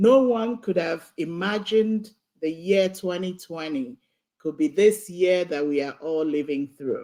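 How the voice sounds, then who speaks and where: Speaking at a fairly slow pace, a woman has a dark, mellow tone, a fairly low pitch and lively intonation. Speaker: keynote speaker, nursing professor. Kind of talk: commencement speech. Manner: formal.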